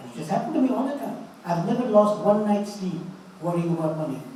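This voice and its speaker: A man is speaking with audible room echo. Noticeable background noise sits behind him. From India. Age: 80s+. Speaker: motivational speaker, doctor. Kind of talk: motivational talk to an audience. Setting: conference with live audience.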